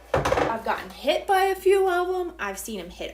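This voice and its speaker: Over noticeable background noise, a woman with an American accent speaks at a moderate pace, her extremely high voice making very wide pitch swings. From United States. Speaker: home baking livestreamer. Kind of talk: live baking stream chatting with viewers. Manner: casual, chatty.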